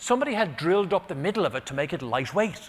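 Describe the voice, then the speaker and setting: Moving at a fairly quick pace, a man's voice takes very wide pitch swings. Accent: Irish. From Ireland. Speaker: motivational keynote speaker. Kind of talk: keynote storytelling.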